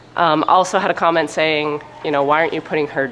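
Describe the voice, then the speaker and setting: Over noticeable background noise, a woman talks in a very deep, low voice. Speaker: sheep farmer and vlogger. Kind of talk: casual vlog talk. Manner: gets loud when excited.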